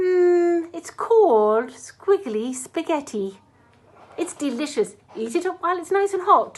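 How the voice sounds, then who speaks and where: A woman's put-on character voice, pitched extremely high, moves along at a fairly slow pace. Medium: read story.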